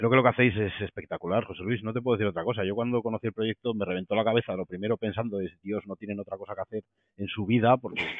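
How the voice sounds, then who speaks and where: A man with a fairly low pitch speaks at a very fast pace with fairly even intonation. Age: 40s. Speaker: podcast host. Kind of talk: interview. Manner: halting.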